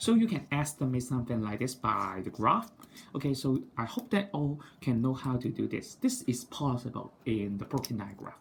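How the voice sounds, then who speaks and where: With ordinary pitch variation, a man's medium-pitched, somewhat breathy voice proceeds at a moderate pace. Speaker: maths teacher. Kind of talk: tutorial.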